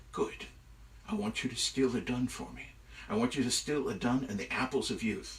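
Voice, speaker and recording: A man's put-on character voice at medium pitch, moderate pace, with clear background noise. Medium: read story. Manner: sly, gloating.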